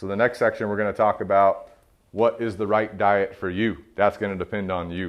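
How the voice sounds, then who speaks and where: Speaking fairly quickly, a man with an American accent uses a fairly low pitch. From South Carolina, US South. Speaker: motivational speaker and dog trainer. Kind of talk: talk to young men. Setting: event with live audience. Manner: animated.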